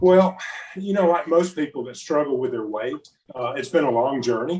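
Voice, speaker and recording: At a moderate pace, a man talks in a fairly high pitch with lively intonation and big swings in loudness. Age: 60s. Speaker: personal training client. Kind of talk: testimony. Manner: casual, halting with fillers.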